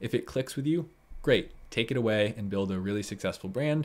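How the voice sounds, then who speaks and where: A man is talking at a fairly quick pace. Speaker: online seller hosting a live stream. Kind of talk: live stream tutorial chat. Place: home room.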